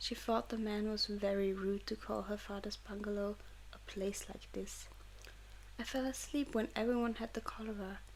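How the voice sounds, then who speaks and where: Soft-spoken delivery with a German accent. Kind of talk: audiobook reading for sleep.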